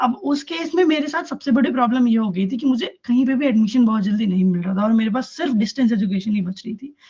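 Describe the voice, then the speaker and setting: A man's extremely high-pitched voice with a dark, mellow tone, lively intonation, and hardly any pauses. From Delhi, India. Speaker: law student speaker. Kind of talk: public talk.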